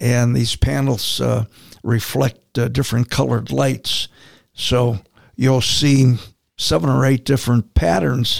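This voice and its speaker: A man with an American accent has a normal speaking voice, with ordinary pitch variation and very even loudness at a fairly slow pace. The sound is dry and close, with no echo. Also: medium pitch for a man. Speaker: steel erection contractor. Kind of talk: casual interview chat.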